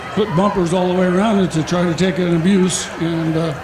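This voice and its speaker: There is noticeable background noise and audible room echo. Through it, a man speaks with a high pitch. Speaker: demolition race driver. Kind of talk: post-race interview.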